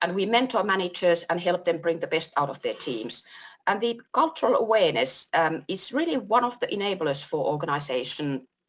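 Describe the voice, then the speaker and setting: A woman with a Finnish accent talks at a fairly quick pace, her pitch swinging very widely. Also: medium pitch for a woman. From Finland. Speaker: workplace culture consultant. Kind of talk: panel discussion.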